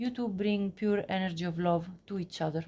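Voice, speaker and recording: A woman speaks at a moderate pace with a dark, mellow tone. Her voice is somewhat breathy. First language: not English. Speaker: tarot reader. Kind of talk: tarot reading monologue. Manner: halting, many fillers.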